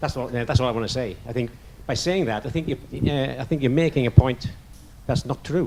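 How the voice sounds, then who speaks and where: A man with a northern English accent talks at a fairly quick pace and a medium pitch, with ordinary pitch variation. He leaves long, frequent pauses. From northern England. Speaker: audience member. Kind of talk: audience question.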